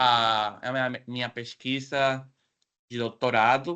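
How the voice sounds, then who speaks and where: A very slow man's voice with a Spanish accent, medium in pitch and bright, sharp in tone, against a quiet background. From Mexico, Mexicali, Baja California. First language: Spanish (speaking Portuguese). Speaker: professor, guest speaker. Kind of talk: academic presentation. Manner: halting.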